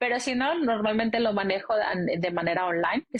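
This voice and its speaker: A woman's voice with ordinary pitch variation at a moderate pace. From Mexico. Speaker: life coach and psychologist. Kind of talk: interview.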